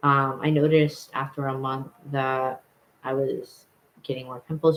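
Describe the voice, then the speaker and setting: Pitched fairly high for a man, his voice has monotone, flat intonation. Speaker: vlogger. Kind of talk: casual vlog chat.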